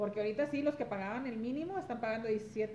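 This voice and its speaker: Lively intonation from a woman at medium pitch, a fairly quick pace and noticeable background noise. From Los Angeles, California, Mexican-American. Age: 40s. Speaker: guest. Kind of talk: casual chat. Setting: at the host's home.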